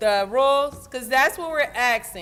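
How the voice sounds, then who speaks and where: A woman speaks in a high pitch. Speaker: union event organizer. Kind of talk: instructions to volunteers at an event. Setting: union hall with audience. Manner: loud.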